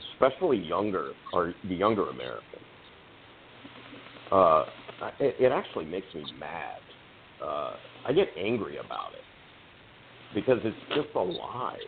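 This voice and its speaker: A man speaks at a moderate pace with long, frequent pauses over noticeable background noise. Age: 60s. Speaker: political candidate. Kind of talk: podcast interview. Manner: halting, repeats words.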